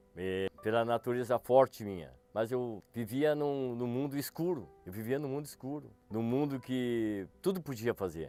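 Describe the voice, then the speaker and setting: Over background music, the speaker goes at a fairly slow pace with lively intonation and hardly any pauses. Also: man, medium pitch for a man. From Rio Grande do Sul, Brazil (São Gabriel). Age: 60s. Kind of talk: testimony. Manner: halting, with hesitations and repetitions.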